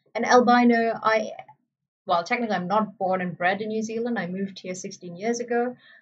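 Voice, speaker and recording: The voice is somewhat breathy and moves at a fairly quick pace. Its intonation stays fairly even. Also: woman, fairly high pitch for a woman. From Malaysia, Sri Lankan family. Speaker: gaming streamer. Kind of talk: casual chat. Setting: live stream. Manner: hesitant, with fillers.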